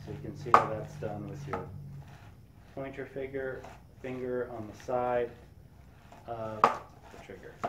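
Loud background noise surrounds the recording. A man speaks at a fairly slow pace. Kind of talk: tutorial. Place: workshop.

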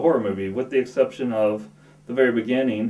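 Over audible room echo, a man talks at a fast pace in a medium pitch with a slightly mellow tone.

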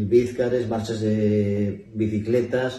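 A man talks with a fairly low pitch in a monotone, flat intonation. Audible room echo surrounds his voice. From Asturias, Spain (Infiesto, Piloña); Asturias, Spain. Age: 60s. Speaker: retired bank employee, festival speaker; speaker. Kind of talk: interview. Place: hall. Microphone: camera far.

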